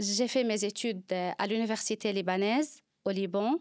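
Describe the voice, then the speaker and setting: A fairly high-pitched woman's voice with a Lebanese accent and ordinary pitch variation, in a very clean recording with a silent background and a dry, close sound with no echo. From Lebanon. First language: Arabic (speaking French). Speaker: psychologist. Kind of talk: interview. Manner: halting.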